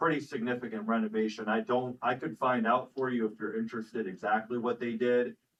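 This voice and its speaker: The speech moves at a fairly quick pace with hardly any pauses. Its intonation stays fairly even. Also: man, medium pitch for a man. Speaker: city official. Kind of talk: council meeting discussion. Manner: loud.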